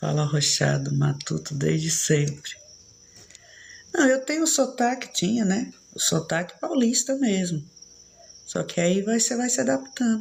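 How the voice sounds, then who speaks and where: Speaking at a fairly slow pace with long, frequent pauses, a woman uses vocal fry, very wide pitch swings and very even loudness. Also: medium pitch for a woman. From São Paulo, Brazil. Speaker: live streamer. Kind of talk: casual chat.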